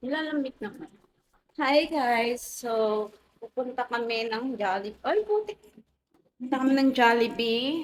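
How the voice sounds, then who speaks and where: Soft-spoken, a woman talks in a high pitch with lively intonation. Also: fairly slow pace. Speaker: vlogger. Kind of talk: casual vlog chat. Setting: outdoors walking at night.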